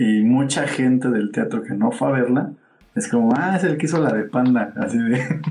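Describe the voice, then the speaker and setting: With noticeable noise in the background, a man of medium pitch speaks at a moderate tempo, his pitch moving in a normal way. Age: 30s. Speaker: theatre producer. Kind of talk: casual interview. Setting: live stream.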